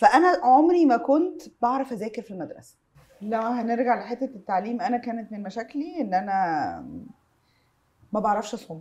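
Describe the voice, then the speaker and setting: Lively intonation and big swings in loudness mark this woman's fairly high-pitched voice, which has a dark, mellow tone. She speaks at a moderate pace. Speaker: creative industry entrepreneur. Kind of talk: casual chat. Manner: animated.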